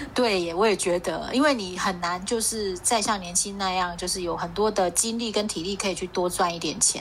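With hardly any pauses, a woman with a medium-pitched voice talks in fairly even intonation over noticeable background noise. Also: fairly quick pace. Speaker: podcast co-host. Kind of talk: casual chat. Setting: video call.

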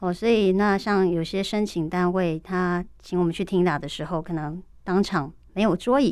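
The recording is very clean and the background silent. A woman's voice carries a dark, mellow tone. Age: 40s. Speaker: real-time captioner. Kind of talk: radio interview.

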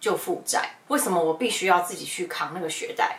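Against noticeable background noise, a woman talks at a very fast pace with lively intonation. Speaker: podcast host, former wedding host. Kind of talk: casual chat. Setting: Instagram livestream.

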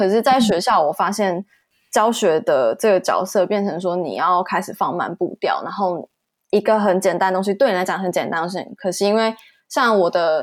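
A woman with a plain, everyday voice speaks at a moderate pace and medium pitch with ordinary pitch variation, on a very clean recording with a silent background. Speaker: motion graphics designer. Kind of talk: interview.

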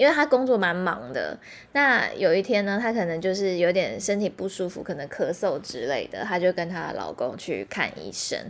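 Speaking at a moderate pace with vocal fry, a woman uses a medium pitch that swings very widely. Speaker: podcast host. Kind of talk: casual chat.

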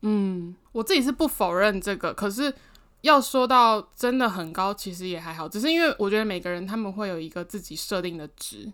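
A woman speaks with lively intonation. She has a normal speaking voice. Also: medium pitch for a woman, moderate pace. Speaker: podcast co-host. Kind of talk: casual chat.

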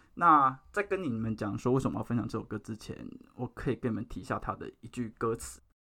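A man's bright, sharp voice at medium pitch, with vocal fry, a very fast pace, ordinary pitch variation, and a very clean recording over a silent background. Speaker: podcast host. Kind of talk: casual chat. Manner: formal, speech-like delivery.

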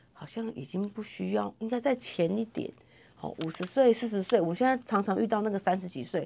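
At a very fast pace, a woman with a medium pitch speaks in an animated tone with lively intonation. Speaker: nurse and health center manager. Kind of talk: interview.

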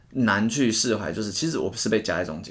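A man talks at a medium pitch and a moderate pace. He has an unremarkable speaking voice. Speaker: tutoring teacher and podcast co-host. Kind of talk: casual chat.

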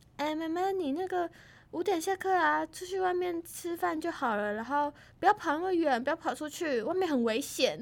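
On a very clean recording with a silent background, a woman speaks in a high pitch. Her intonation is lively. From Taiwan, Tainan. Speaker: university student. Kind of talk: casual chat.

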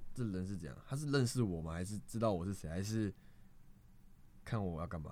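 With a dark, mellow tone, a man speaks at a fairly quick pace and lively intonation. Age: 20s. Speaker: street performer and acrobat. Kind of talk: casual chat.

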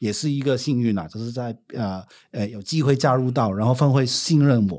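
On a very clean recording with a silent background, a man with a Hong Kong accent speaks at a medium pitch and a fairly quick pace with lively intonation. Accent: Hong Kong accent in Mandarin. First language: Cantonese (speaking Chinese). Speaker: business owner and former social worker. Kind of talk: casual chat.

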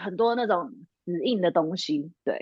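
The woman has a plain, everyday voice with medium pitch. She speaks at a fairly slow pace with ordinary pitch variation. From Taiwan. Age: 30s. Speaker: lingerie brand founder and career consultant. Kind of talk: casual interview.

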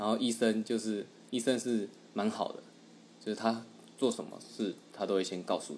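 A man speaks at a moderate pace with a fairly low pitch. His intonation stays fairly even, broken by long, frequent pauses. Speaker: podcast co-host. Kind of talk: casual chat.

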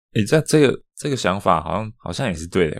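Speaking very fast, a man comes through on a very clean recording with a silent background. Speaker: podcast co-host. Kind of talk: casual chat.

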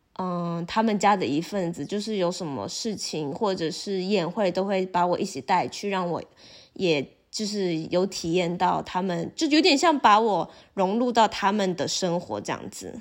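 A woman's plain, everyday voice at medium pitch, with ordinary pitch variation and a moderate pace. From Taiwan. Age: 20s. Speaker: university student, former exchange student. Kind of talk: casual interview chat.

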